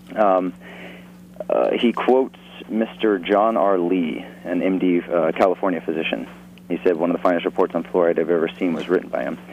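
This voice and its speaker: With a very deep, low pitch, a man talks at a moderate pace over noticeable background noise. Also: lively intonation. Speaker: caller. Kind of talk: call-in, reading aloud from a book. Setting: phone call.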